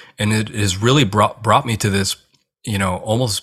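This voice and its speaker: A man with an American accent has a fairly low pitch and a bright, sharp tone. The recording is very clean, with a silent background. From US, Korean American family. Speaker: hospital chaplain and author. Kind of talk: interview conversation.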